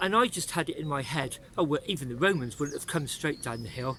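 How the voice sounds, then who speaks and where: A man with a West Country accent talks at a fairly quick pace. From England, Bath. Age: 60s. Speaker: cycling vlogger. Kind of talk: vlog narration while riding. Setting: outdoors on a bike.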